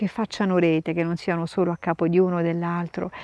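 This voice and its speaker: Fairly quick speech against a quiet background, dry with no echo. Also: woman. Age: 50s. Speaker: nun and sign language interpreter; interviewee. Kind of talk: interview. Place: garden. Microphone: lapel.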